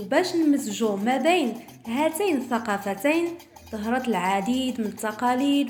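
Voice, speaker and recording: In a Moroccan accent, a woman with a high pitch and lively intonation talks at a moderate pace, with music in the background and audible room echo. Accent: Moroccan Arabic (Darija). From Morocco. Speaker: YouTube presenter. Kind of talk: presenting a cultural talk.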